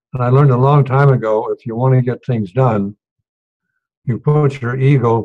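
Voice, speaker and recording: A man speaks with a somewhat breathy voice. His intonation stays fairly even. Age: 90s. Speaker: retired diplomat. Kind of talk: storytelling speech.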